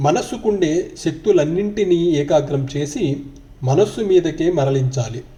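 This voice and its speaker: Lively intonation from a man pitched fairly high. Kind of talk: spiritual book reading. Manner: calm.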